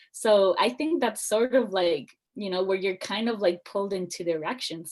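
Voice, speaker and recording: A woman with a Spanish accent speaks at a moderate pace and medium pitch. Her pitch varies in an ordinary way. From Bolivia, Cochabamba. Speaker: student club president. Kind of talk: interview. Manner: casual, filler-heavy.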